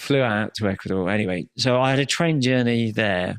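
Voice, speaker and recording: Recorded dry and close with no echo, a man with a British accent sounds animated, his fairly low voice showing ordinary pitch variation. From Britain. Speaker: former prisoner. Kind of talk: casual chat.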